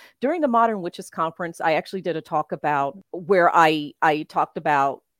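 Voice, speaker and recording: Recorded very cleanly against a silent background, dry and close with no echo, a woman with an American accent talks at a moderate pace in a fairly low pitch, a plain, everyday voice. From US South, Memphis, Tennessee. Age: 50s. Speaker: tarot reader. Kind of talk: casual interview.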